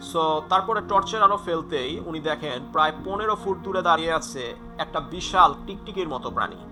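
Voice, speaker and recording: Music plays behind a man whose fairly high pitch shows ordinary pitch variation. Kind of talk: horror story narration to camera, casual. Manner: conversational, with filler words.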